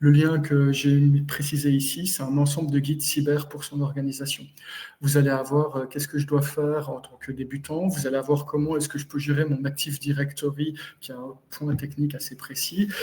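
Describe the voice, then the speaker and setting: A man with a Belgian accent has a fairly high, somewhat breathy voice and a dark, mellow tone. His intonation stays flat and monotone while his loudness swings a lot. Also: moderate pace. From Belgium. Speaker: cybersecurity consultant. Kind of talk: webinar presentation. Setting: live webinar.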